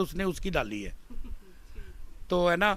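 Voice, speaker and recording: A man is talking here. The intonation he uses is fairly even. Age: 60s. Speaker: Ramlila stage actor. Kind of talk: interview. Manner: hesitant with fillers.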